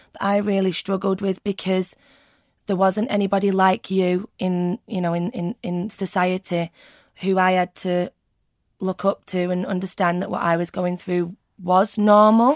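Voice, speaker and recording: A woman's medium-pitched voice in a Mancunian accent, fairly slow and flat in a monotone, with a dry, close sound, no echo, and a very clean recording over a silent background. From Manchester, England. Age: 30s. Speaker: burn survivor. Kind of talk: personal testimony interview.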